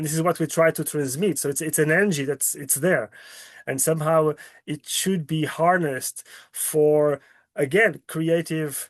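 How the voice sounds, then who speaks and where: A man with a fairly high pitch and a Portuguese accent talks at a moderate pace with fairly even intonation, the sound dry and close with no echo and the background quiet. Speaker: climate justice researcher presenting a report. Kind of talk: webinar presentation and Q&A answer. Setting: video call webinar.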